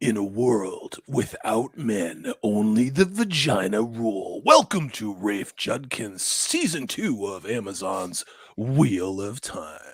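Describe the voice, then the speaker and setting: Using a put-on character voice with a dramatic tone, a man speaks at a medium pitch and a fairly slow pace, with hardly any pauses. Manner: dramatic, announcing.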